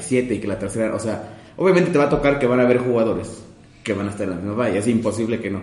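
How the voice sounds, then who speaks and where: Audible room echo around a man's voice in the medium pitch range. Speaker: podcast co-host. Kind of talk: casual chat.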